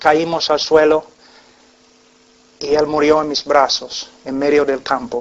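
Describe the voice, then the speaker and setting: With noticeable background noise behind him, a man of fairly high pitch talks at a very slow pace with fairly even intonation, big swings in loudness, and long, frequent pauses. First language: English (speaking Spanish). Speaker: preacher. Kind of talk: sermon with personal testimony. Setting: church congregation. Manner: halting, with fillers.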